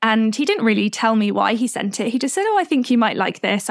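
Speaking fairly quickly, a woman uses a normal speaking voice pitched fairly high. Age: 20s. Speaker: yoga instructor and self-love coach. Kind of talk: casual interview chat.

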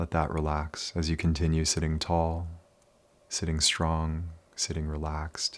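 At a fairly slow pace, a man with a very deep, low pitch talks in a gentle, calm tone with monotone, flat intonation on a very clean recording with a silent background. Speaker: meditation guide for basketball players. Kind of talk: guided meditation. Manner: slow, calm, soothing pace with long pauses; soft-spoken, gentle and unhurried.

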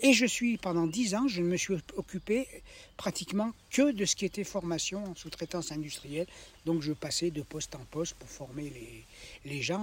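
At a moderate pace, a man with a high pitch uses lively intonation, big swings in loudness, and long, frequent pauses. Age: 70s. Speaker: retired vocational trainer. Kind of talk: life story interview. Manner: halting, many repetitions.

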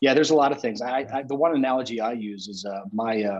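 With an unremarkable speaking voice, a man talks at a moderate pace and ordinary pitch variation against a quiet background. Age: 40s. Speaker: podcast host. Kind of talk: casual chat.

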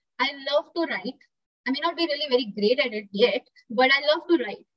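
Her delivery is neither rushed nor slow. This woman's pitch rises and falls in a typical manner. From India, Pune (Maharashtra). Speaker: zoo animal behaviour worker. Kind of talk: interview.

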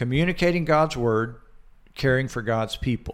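The recording is very clean, with a silent background. A man talks with lively intonation at medium pitch. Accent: slight Southern US. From Georgia, US South. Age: 60s. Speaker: chaplain and church elder. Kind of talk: casual interview, personal testimony. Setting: studio.

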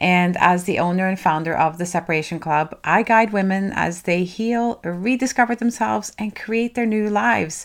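With ordinary pitch variation and few pauses, a woman talks at a moderate pace in a medium pitch.

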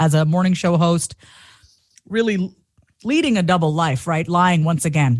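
With an American accent and a normal speaking voice, a woman talks at a fairly quick pace, her fairly low pitch showing ordinary variation. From Long Island, New York. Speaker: confidence coach and comedian. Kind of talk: interview, personal testimony.

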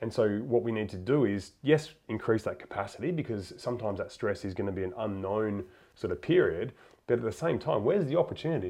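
Against a quiet background, a man with a plain, everyday voice speaks at a medium pitch and a fairly quick pace. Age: 30s. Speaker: podcast host. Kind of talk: interview conversation.

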